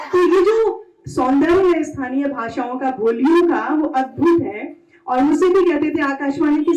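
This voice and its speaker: This is a woman's voice. Her intonation is lively. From Pilibhit, Uttar Pradesh, India. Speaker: radio presenter and event anchor. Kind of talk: stage compering at poetry event.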